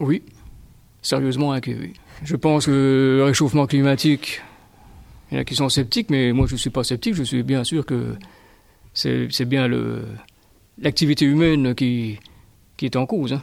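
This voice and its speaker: Long, frequent pauses in speech of moderate speed, with normal pitch movement. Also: man, medium pitch for a man. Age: 60s. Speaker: school gardener. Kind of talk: interview answers.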